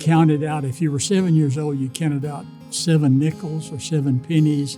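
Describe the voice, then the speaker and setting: Music plays in the background as a man with a Texan accent speaks at a moderate pace. His pitch is fairly high and his intonation fairly even. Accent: Texan Southern US. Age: 80s+. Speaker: former charity board chairman and donor. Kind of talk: interview answer. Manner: halting, repeats words.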